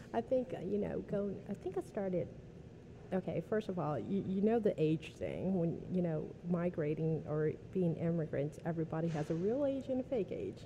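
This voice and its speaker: A woman with a fairly low pitch and a dark, mellow tone sounds somewhat breathy, her intonation lively. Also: moderate pace. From New Orleans East, Louisiana. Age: 30s. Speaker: accountant. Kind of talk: casual interview. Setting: restaurant.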